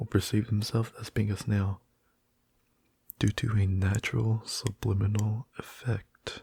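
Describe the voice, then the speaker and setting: A soft-spoken, somewhat breathy man at a fairly low pitch and very slow pace, monotone and flat, with a dry, close sound and no echo. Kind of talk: reading facts aloud about a fictional ability.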